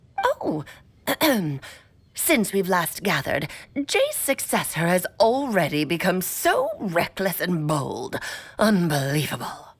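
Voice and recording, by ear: A woman's put-on character voice at medium pitch, fairly slow, broken by long, frequent pauses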